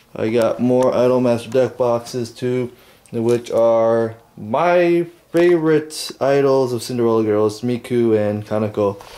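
This man has a dark, mellow tone and ordinary pitch variation. He talks at a fairly slow pace. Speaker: vlogger. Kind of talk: casual vlog chat. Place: home room.

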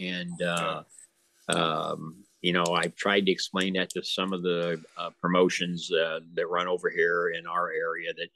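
A man with an American accent has a very deep, low pitch and a bright, sharp tone. The sound is dry with no echo against a quiet background. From Illinois. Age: 70s. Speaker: wrestling promoter; guest. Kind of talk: casual chat. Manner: halting. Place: home room. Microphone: video call.

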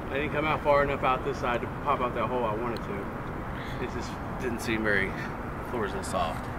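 A man at a fairly quick pace with ordinary pitch variation, set against loud background noise. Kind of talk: casual explanation to companions. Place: street.

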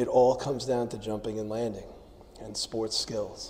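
A man talks at a moderate pace with monotone, flat intonation. Light background noise can be heard. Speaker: strength coach. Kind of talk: instructional talk. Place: gym. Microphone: lapel.

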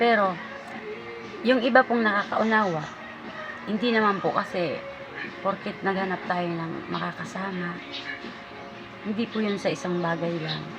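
A woman speaks with ordinary pitch variation and long, frequent pauses. Music plays in the background, and there is audible room echo. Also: medium pitch for a woman, moderate pace. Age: 50s. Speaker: vlogger. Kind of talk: casual monologue vlog. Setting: at her store.

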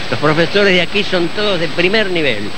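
The sound is dry with no echo as a high-pitched man speaks over noticeable background noise. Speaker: swimmer. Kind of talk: interview answer. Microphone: handheld.

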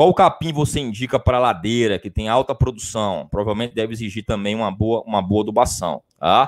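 An unremarkable speaking voice at a fairly quick pace, ordinary pitch variation and hardly any pauses, on a very clean recording with a silent background. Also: man, medium pitch for a man. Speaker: livestock science teacher. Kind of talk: live-stream lecture. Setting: improvised home studio. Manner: conversational, frequent 'tá?' fillers.

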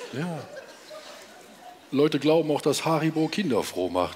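Over light background noise, a man speaks in a calm tone at a fairly high pitch. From Romania. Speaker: cabaret artist. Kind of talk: cabaret stage performance. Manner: calm, chatty. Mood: dry, deadpan irony. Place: stage. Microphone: headset.

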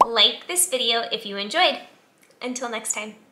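A woman speaks at a moderate pace over faint music in the background. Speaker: lifestyle vlogger. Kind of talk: casual vlog chat. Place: home room. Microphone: phone near.

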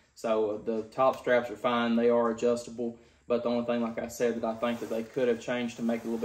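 A man with a Kentucky accent, fairly quick and monotone, his intonation flat. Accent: Kentucky Southern US. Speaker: gun and gear reviewer; product reviewer. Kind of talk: product review. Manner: casual, frequent filler words. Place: home room. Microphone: camera far.

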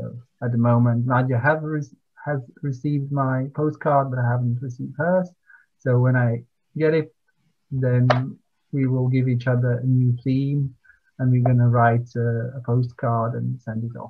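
A man with a Latvian accent, medium pitch and a somewhat breathy voice, monotone, flat intonation, moderate pace, long, frequent pauses and a quiet background. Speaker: poet. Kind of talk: interview. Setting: video call. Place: home room. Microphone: video call.

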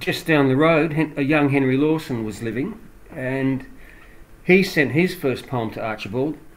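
A man with an Australian accent speaks at a fairly slow pace, with long, frequent pauses. His pitch is fairly high, with ordinary variation. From Australia, Adelaide. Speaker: author and former English teacher. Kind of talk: interview. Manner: halting.

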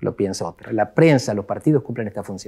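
Over a quiet background, a man talks at a fairly quick pace. His tone is dark and mellow, his intonation lively. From Argentina. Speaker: political scientist; guest. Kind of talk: interview. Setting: office. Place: studio. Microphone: lapel.

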